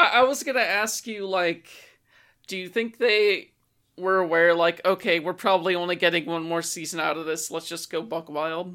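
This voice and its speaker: At a moderate pace, a woman speaks in a fairly low voice with a bright, sharp tone, in a very clean recording with a silent background. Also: ordinary pitch variation. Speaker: podcast host. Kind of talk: casual chat.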